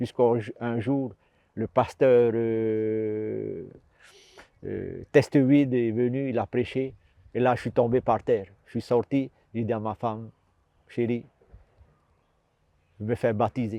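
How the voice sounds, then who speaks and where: A man's medium-pitched, dark, mellow voice, very slow and monotone with flat intonation, long, frequent pauses and big swings in loudness, with a dry, close sound and no echo. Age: 60s. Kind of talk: testimony. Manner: halting, repetitive.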